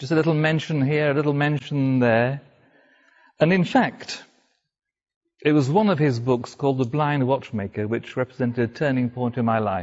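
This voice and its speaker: A man with a Welsh accent speaks at a medium pitch and a moderate pace, with ordinary pitch variation. He leaves long, frequent pauses. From North Wales. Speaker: speaker telling his conversion story. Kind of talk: talk to a live audience.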